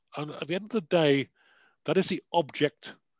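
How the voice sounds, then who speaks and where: A quiet background and a dry sound with no echo. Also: man. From United Kingdom. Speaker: security advisor and author; guest lecturer. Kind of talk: panel discussion. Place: home room. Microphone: headset.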